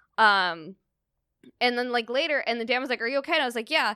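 A woman with a Californian accent, fairly high pitch and a bright, sharp tone, in a dry, close sound with no echo on a very clean recording with a silent background. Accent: General American (Californian). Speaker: comedian. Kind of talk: casual chat.

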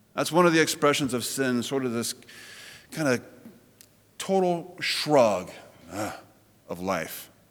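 A man of medium pitch speaks fairly slowly with very wide pitch swings. Long, frequent pauses break up his speech, and the room echo is audible. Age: 40s. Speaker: pastor. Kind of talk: sermon. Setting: church.

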